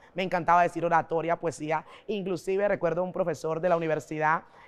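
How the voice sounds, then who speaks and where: A woman's very fast, monotone delivery with flat intonation against a quiet background. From Panama, Colón. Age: 40s. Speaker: pastor. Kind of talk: interview. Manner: oratorical.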